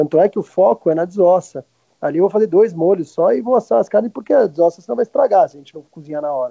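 A high-pitched man at a very fast pace, with lively intonation and big swings in loudness. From Argentina, Martínez near Buenos Aires, moved to Brazil at 10. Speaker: restaurant owner and grill cook. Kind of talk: casual interview.

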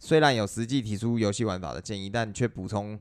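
The recording is very clean, with a silent background. A man with an unremarkable speaking voice talks fairly quickly at a fairly low pitch, with ordinary pitch variation. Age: middle-aged. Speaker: video game podcast co-host. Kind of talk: reading news aloud; casual chat.

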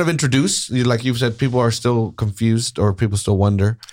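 At a fairly quick pace, a man with an American accent speaks at a mid-range pitch. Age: 30s. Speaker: podcast host. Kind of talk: casual chat. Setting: studio. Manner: animated.

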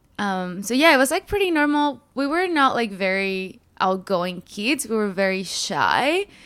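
A woman with a Spanish accent speaks at a fairly slow pace with hardly any pauses and very wide pitch swings, on a very clean recording with a silent background. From Mexico. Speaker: fitness influencer. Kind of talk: casual chat.

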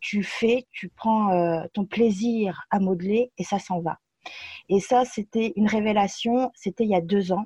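The voice has a dark, mellow, somewhat breathy tone and fairly even intonation at a very slow pace. The sound is dry and close, with no echo. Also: woman, medium pitch for a woman. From France. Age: 30s. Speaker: aspiring cake designer. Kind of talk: interview conversation.

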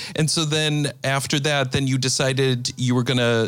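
A man speaking at a moderate pace in a medium pitch. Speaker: podcast host. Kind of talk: interview. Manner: animated.

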